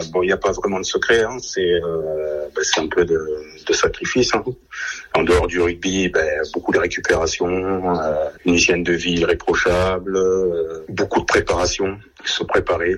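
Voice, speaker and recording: There is noticeable background noise as the speaker talks at a fairly slow pace. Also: man. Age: 30s. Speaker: rugby player. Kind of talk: radio interview. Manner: halting.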